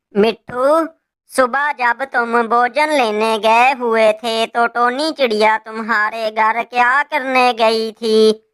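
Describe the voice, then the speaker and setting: Cackling in a cartoonish character voice, a female-sounding speaker uses a fairly high pitch and a very slow pace. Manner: cackling, gloating.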